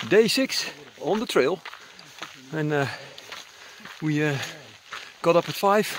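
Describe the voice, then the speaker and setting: The man's voice sounds dry with no echo, though there is noticeable background noise. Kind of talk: casual vlog chat. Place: open country. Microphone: phone near.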